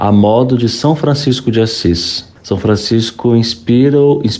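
Fairly slowly, a man talks at a medium pitch with a dark, mellow tone and ordinary pitch variation. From Brazil, Espírito Santo. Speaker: Franciscan friar, theology student. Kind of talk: personal testimony.

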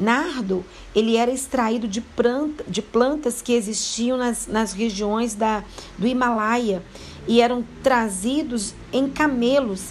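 A woman speaks at a very slow pace in a fairly high pitch with ordinary pitch variation. Noticeable background noise is present. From Brazil, Minas Gerais (Mariana). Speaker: devotional speaker. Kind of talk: devotional Bible talk. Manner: hesitant, with repetitions.

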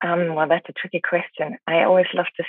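A woman with a German accent speaks at a fairly low pitch with fairly even intonation. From Germany. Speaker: relationship coach. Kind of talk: interview. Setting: hotel room in quarantine.

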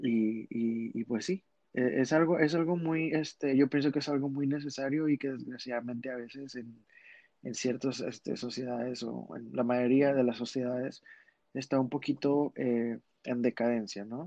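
At a fairly slow pace, a man talks with a medium pitch. His intonation stays fairly even. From Monterrey, Mexico. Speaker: drag artist. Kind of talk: casual chat.

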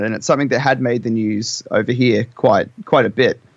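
A man with an Australian accent. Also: quiet background. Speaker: rock band member. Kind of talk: casual interview. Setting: video call.

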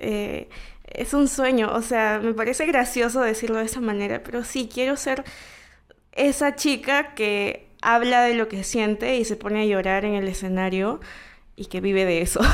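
A woman with a normal speaking voice talks at a fairly high pitch. She goes at a fairly slow pace with ordinary pitch variation. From Peru, Callao. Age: 20s. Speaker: singer-songwriter. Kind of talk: casual interview.

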